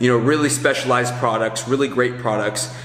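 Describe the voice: Through clear background noise, a man of medium pitch talks at a fairly quick pace with fairly even intonation.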